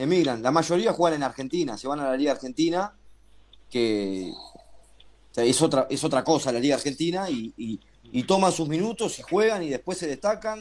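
A fairly high male voice with very wide pitch swings at a moderate pace. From Uruguay. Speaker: basketball radio presenter. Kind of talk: casual chat.

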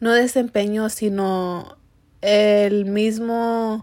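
A woman's medium-pitched voice with a slightly mellow tone and fairly even intonation

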